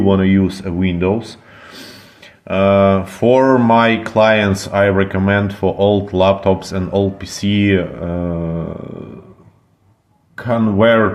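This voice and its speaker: Speaking very slowly with a non-native accent, a man uses a fairly low pitch and a monotone, flat intonation, with audible room echo around him. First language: not English. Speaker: computer repair technician. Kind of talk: tutorial. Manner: halting, many fillers.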